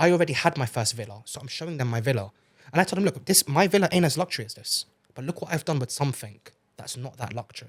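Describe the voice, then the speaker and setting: A man's fairly high, somewhat breathy voice with a British accent, very fast and lively in intonation, big swings in loudness, dry and close with no echo. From UK. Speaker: entrepreneur. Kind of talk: podcast interview.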